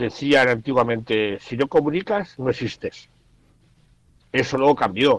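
A man talks at a medium pitch and a fairly slow pace. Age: 50s. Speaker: journalist and writer, blind since 18. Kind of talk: radio interview, casual talk.

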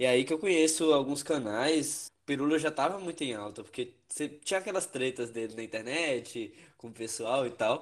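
In a normal speaking voice, a man with fairly high pitch talks at a moderate pace with ordinary pitch variation and hardly any pauses, against a quiet background. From northern Minas Gerais, Brazil. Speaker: podcast co-host, physics student. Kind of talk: casual chat.

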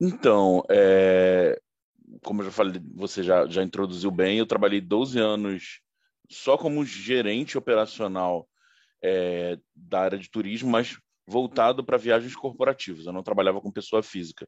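In a quiet background with a dry, close sound and no echo, a man speaks fairly slowly in a plain, everyday voice of fairly low pitch, with ordinary pitch variation and big swings in loudness. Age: 40s. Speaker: IT consultant, former sales manager. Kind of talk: interview.

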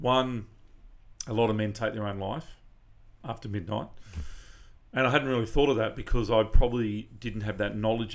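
A man with an Australian accent, fairly low pitch, fairly quick pace, long and frequent pauses, and big swings in loudness. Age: 40s. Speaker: charity event organiser. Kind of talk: casual interview.

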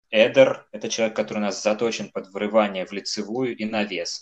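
This man speaks at a moderate pace and a medium pitch, in an ordinary speaking voice. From Cheboksary, Russia. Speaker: football fan podcast co-host. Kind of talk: casual chat.

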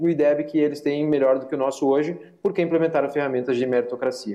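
Noticeable background noise sits behind a man talking at a fairly quick pace. His pitch is fairly high and his intonation fairly even. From Rio Grande do Sul, Brazil. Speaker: parliamentary aide and education commentator. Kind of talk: panel debate. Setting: remote video call.

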